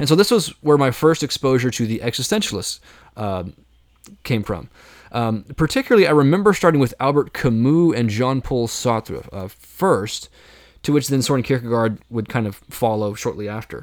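In a normal speaking voice, a man talks at a moderate pace and medium pitch with lively intonation on a very clean recording with a silent background. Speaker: philosophy podcast host. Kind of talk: solo Q&A monologue.

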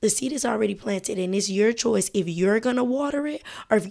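A woman with an American accent talks in an ordinary speaking voice at a medium pitch, with lively intonation at a fairly quick pace. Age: 20s. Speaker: podcast host, college student. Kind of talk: casual monologue. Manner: casual, many filler words.

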